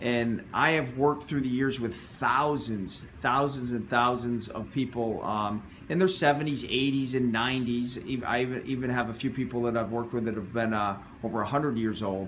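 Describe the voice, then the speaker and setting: Speaking at a moderate pace, a man uses an ordinary speaking voice with medium pitch and fairly even intonation. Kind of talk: interview questions.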